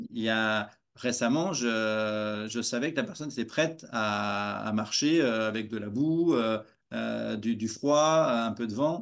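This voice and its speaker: A man's very slow speech with hardly any pauses, medium pitch and ordinary pitch variation, over a quiet background. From France. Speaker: walking coach. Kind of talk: interview; interview answer. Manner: halting. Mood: warm, smiling. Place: home room. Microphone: video call.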